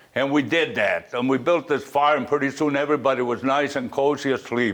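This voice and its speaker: Noticeable background noise sits behind a man speaking at a fairly quick pace and a medium pitch. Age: 80s+. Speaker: war veteran. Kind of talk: war memoir talk to an audience.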